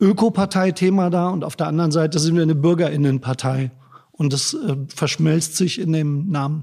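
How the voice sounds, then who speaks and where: This man talks at a moderate pace in a fairly high pitch with ordinary variation. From northern Germany, Braunschweig. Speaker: politician, election candidate. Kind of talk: interview. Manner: hesitant, many filler sounds.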